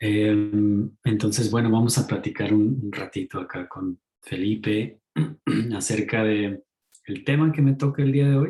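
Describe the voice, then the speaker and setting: A man talks at a fairly slow pace in a fairly low, somewhat breathy voice. His tone is dark and mellow, with ordinary pitch variation. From Mexico. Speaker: ecopsychologist lecturer. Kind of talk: online talk.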